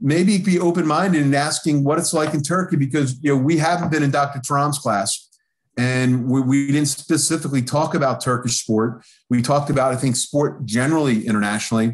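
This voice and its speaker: A man speaks fairly fast in a fairly high voice with ordinary pitch variation. His loudness is very even, and the background is quiet. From US Northeast, Philadelphia. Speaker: professor. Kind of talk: lecture.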